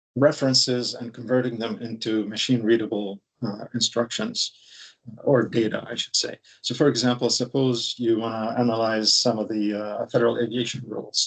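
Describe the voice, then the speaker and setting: This man's voice sits at a medium pitch. The intonation is monotone and flat. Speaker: software engineer presenting a technical talk. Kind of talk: technical presentation. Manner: fast; many filler words (uh, um).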